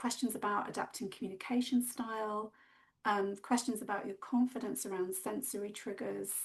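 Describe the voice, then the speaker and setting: At a moderate pace, a woman speaks with a calm tone, fairly high pitch and ordinary pitch variation. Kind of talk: webinar presentation. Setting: video call. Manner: halting, many fillers.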